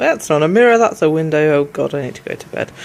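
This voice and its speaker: A woman speaks with a British accent and ordinary pitch variation. Noticeable background noise runs underneath. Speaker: vlogger. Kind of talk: casual vlog chat.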